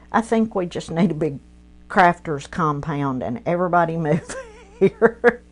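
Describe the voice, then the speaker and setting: Noticeable background noise sits under a woman's fairly low voice. Her tone is animated and her intonation lively. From East Tennessee, Athens. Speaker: craft livestream host. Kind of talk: casual livestream tutorial. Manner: chatty, animated.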